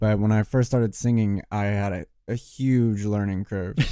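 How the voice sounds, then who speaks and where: Fairly low and dark, mellow in tone, a man's voice carries an American accent and fairly even intonation. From Richmond, Virginia. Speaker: music producer and singer. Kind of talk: casual interview.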